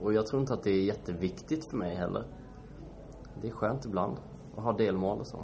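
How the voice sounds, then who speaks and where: A man talks at a fairly quick pace with ordinary pitch variation, broken by long, frequent pauses. Room echo is audible. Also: fairly low pitch for a man. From Sweden, Kalmar. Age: 20s. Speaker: startup founder. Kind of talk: interview. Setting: shop showroom. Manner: hesitant, many fillers.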